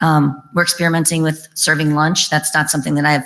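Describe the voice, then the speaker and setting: A woman speaks at a very fast pace with a very deep, low pitch. Her intonation is monotone and flat, and her tone is bright and sharp. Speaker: early learning center director. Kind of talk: question and answer session.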